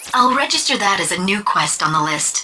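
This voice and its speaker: A cartoonish character voice, female-sounding, at a fairly quick pace. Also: medium pitch for a woman. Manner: polite, helpful.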